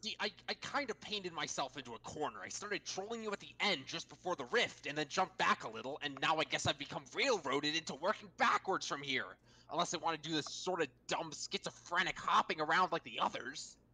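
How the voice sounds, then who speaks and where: At a middle pitch, a put-on character voice rattles along at a very fast pace with hardly any pauses. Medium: game stream. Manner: abrasive, ranting, profane.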